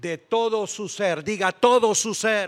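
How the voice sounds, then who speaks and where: A man is speaking. His tone is animated. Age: 60s. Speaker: pastor. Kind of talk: sermon.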